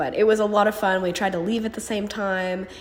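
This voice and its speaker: Noticeable background noise is present. A woman talks at a fairly quick pace. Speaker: amateur drag racer. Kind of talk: casual vlog talk to camera.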